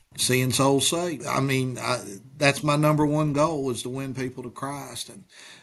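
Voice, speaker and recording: With an Appalachian accent, a man of fairly high pitch speaks at a moderate pace in a monotone, flat intonation, with big swings in loudness and noticeable background noise. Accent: Appalachian Kentucky. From Eastern Kentucky. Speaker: pastor. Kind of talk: interview answers.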